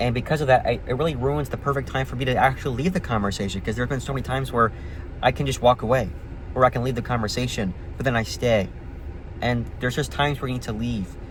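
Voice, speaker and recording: Against noticeable background noise, the speech races at a very fast pace with ordinary pitch variation. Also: man, medium pitch for a man. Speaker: vlogger. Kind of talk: casual monologue.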